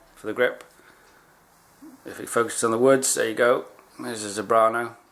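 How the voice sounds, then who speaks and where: Amid noticeable background noise, a man talks at a fairly quick pace with a medium-pitched voice. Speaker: archery hobbyist vlogger. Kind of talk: unboxing video.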